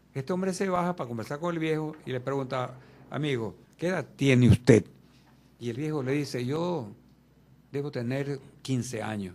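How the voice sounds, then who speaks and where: A man speaks in a dark, mellow tone. His intonation is lively. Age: 80s+. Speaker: interview guest. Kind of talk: radio interview.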